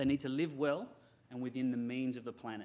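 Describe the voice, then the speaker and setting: The speaker has an Australian accent. Pitch varies in an ordinary way. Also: man. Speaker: software company representative. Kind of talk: conference presentation.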